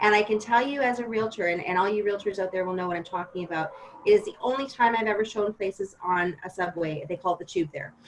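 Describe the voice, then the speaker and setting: A woman with a Western Canadian accent talks at a very fast pace. Her medium pitch shows ordinary variation, with noticeable background noise behind her. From Ontario, Canada. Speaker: realtor. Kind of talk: podcast interview.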